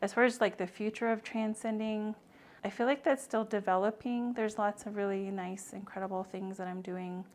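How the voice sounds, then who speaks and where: Soft-spoken and fairly high in pitch, a woman talks with an American accent. Her pace is fairly quick and her intonation fairly even. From Navajo Nation, US Southwest. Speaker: nonprofit founder and maternal health advocate. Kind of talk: podcast interview.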